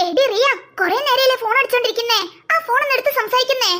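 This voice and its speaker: In a cartoonish character voice, a woman rattles along at a very fast pace with an extremely high pitch and very even loudness. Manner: brisk, bossy, dismissive.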